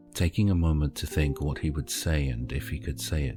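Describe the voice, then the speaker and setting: A man's very deep, low voice at a moderate pace with ordinary pitch variation, music in the background. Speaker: voice over artist, author-narrator. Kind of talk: audiobook short story narration.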